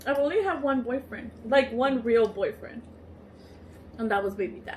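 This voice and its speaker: A woman talks at a moderate pace in a high voice with ordinary pitch variation. Noticeable background noise runs underneath. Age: 20s. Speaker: YouTuber. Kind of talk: casual chat.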